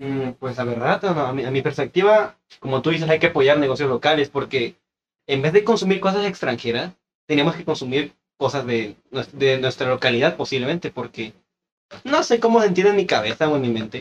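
An ordinary speaking voice from a man, fairly high in pitch and fairly quick in pace. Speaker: podcast co-host. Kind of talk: casual chat.

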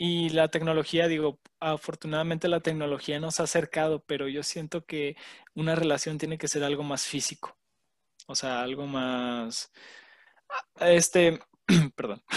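Against a quiet background, the speech runs at a fairly slow pace with fairly even intonation and long, frequent pauses, in a dry, close sound with no echo. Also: man, fairly high pitch for a man. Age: 20s. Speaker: podcast co-host. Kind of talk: casual chat.

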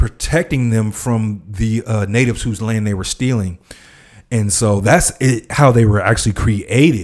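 A man's medium-pitched voice at a moderate pace with ordinary pitch variation, on a very clean recording with a silent background. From South Central Los Angeles, US. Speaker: podcast co-host discussing a TV series. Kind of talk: casual chat.

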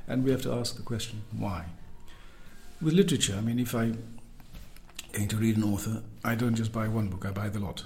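A soft-spoken man, medium in pitch, at a fairly quick pace broken by long, frequent pauses, with audible room echo. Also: ordinary pitch variation. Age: 50s. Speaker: double bassist. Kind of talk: interview. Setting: in person. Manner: careful, precise.

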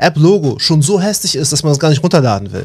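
Somewhat breathy and fairly high in pitch, a man rushes along at a very fast pace with ordinary pitch variation. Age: 30s. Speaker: software engineering student and IT trainer. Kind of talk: casual interview. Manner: halting, many fillers.

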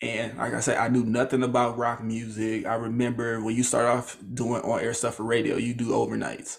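The man talks at a fairly quick pace. His medium-pitched voice has a monotone, flat intonation. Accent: American. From small town in Illinois. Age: 20s. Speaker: podcaster and media worker. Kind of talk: casual interview. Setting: video call from his bedroom.

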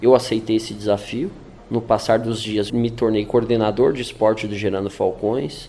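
A man's voice, dark and mellow in tone, moves at a moderate pace with fairly even intonation. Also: medium pitch for a man. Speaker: former prisoner turned sports coordinator. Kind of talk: testimony.

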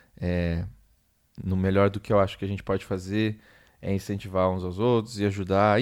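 This man's voice sits fairly low in pitch. The recording is very clean, with a silent background. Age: 20s. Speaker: solo podcaster, graphic designer. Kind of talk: casual solo monologue. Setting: home. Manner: halting, many repetitions.

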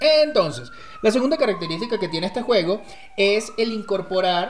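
A man's voice makes very wide pitch swings over noticeable background noise. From Venezuela, rural agricultural state. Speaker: storyteller, guest co-host. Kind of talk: casual chat.

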